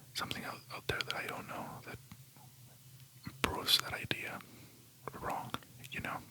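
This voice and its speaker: Someone whispers in a relaxed tone at a fairly slow pace, with long, frequent pauses and noticeable background noise. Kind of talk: ASMR whispered rambling talk to camera. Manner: whispering, soft, relaxed.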